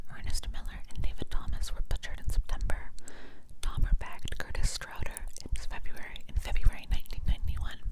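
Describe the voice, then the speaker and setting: Fairly quick whispering from a woman, with noticeable background noise. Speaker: ASMR content creator. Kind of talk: ASMR true crime reading from a book. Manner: whispered, soft.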